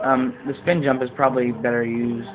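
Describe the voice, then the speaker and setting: Over noticeable background noise, a man talks at a moderate pace and a medium pitch. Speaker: video game let's player. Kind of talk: gameplay commentary. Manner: hesitant, many fillers. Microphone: quiet, volume needs turning up.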